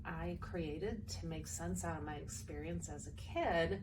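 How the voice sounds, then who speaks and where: A woman talks at a fairly slow pace. Audible room echo and noticeable background noise fill the recording. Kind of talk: personal testimony. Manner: loud.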